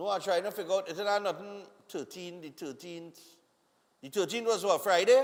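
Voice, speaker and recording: Speaking in a Trinidadian accent, a man with a high pitch goes at a fairly quick pace with ordinary pitch variation and big swings in loudness. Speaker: morning TV show host. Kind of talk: live TV birthday greetings and chat. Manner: casual, conversational.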